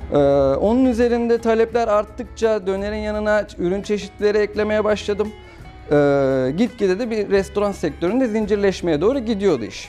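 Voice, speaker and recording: A high-pitched male voice over faint music in the background. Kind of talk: interview answer. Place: shop.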